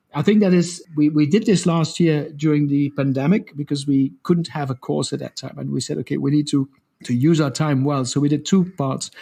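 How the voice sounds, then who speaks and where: Fairly high in pitch, a man talks at a fairly quick pace with hardly any pauses. His voice is somewhat breathy, with a dark, mellow tone. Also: ordinary pitch variation. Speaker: social change program cofounder. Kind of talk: podcast interview. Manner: halting, repeats words.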